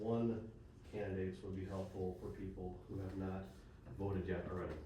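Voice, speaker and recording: A man speaks in a flat monotone, with audible room echo and noticeable background noise. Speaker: forum moderator. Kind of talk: candidate forum moderation. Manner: casual.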